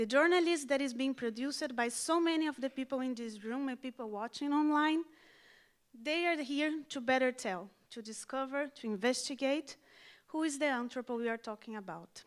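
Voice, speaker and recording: In a very clean recording with a silent background, a high-pitched woman with a non-native accent speaks with ordinary pitch variation. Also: moderate pace. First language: not English. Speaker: education and outreach specialist. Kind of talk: conference speech. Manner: formal.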